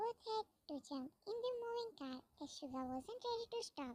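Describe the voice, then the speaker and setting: A woman puts on a squeaky character voice at an extremely high pitch. Her pitch swings very widely as she talks at a moderate pace. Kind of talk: fan fiction read-aloud. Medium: read story. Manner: reads speaker names aloud.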